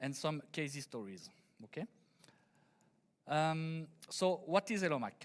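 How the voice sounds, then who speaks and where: At a fairly slow pace and with long, frequent pauses, a man with a French accent speaks at a fairly high pitch. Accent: French accent, noticeable. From France. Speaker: engineer, conference speaker. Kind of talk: conference presentation. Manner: halting, many fillers; deliberately slow.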